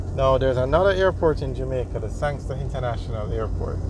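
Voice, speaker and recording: Fairly quick speech from a man, dry with no echo, against noticeable background noise. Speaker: tour narrator. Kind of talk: narrated driving tour commentary. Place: car.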